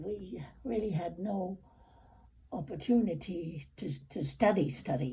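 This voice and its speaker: Pitched in a medium range, a woman's voice has a dark, mellow tone with vocal fry. She speaks at a fairly slow pace with lively intonation. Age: 80s+. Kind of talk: interview answer.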